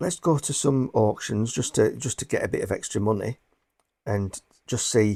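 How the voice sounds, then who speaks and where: In a northwest English accent, a man speaks at a very slow pace with a medium pitch and a dark, mellow tone, in a very clean recording with a silent background. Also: dry, close sound with no echo. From northwest England. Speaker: booktuber and bookseller. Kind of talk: casual vlog talk to camera. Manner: halting, many repeated words.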